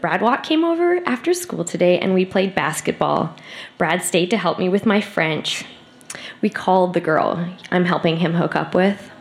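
A woman speaks at a moderate pace in an animated, amused tone. Her loudness stays very even over noticeable background noise. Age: 30s. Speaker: live reader of old diary. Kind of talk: spoken word, reading aloud diary entries. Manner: animated, wry, amused, laughing through entries.

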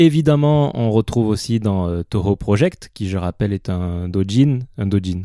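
Recorded dry and close with no echo, a man talks at a moderate pace with a fairly low pitch and a dark, mellow tone. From southwestern France (Pau, Marmande). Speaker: podcast co-host. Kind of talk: casual chat. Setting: remote recording.

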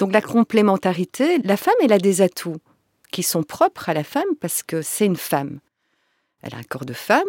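At a fairly quick pace, a woman with a medium pitch swings her pitch very widely, recorded very cleanly against a silent background with a dry, close sound and no echo. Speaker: tantra masseuse and workshop facilitator. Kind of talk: interview conversation.

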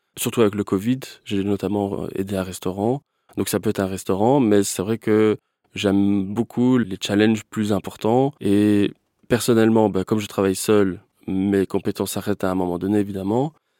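A man speaks at a fairly low pitch with fairly even intonation and a dark, mellow tone. The sound is dry and close with no echo, on a very clean recording with a silent background. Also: moderate pace. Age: 30s. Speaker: web designer. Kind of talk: interview. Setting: studio.

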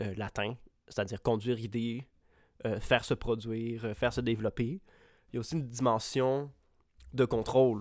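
In a very clean recording with a silent background, a man speaks with a Quebec accent. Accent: Québécois French. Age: 20s. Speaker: podcast co-host. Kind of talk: casual chat.

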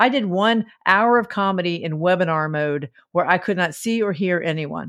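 A Southern US accent with ordinary pitch variation. The recording is very clean, with a silent background. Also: woman. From US South. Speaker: stand-up comedian. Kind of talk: casual chat.

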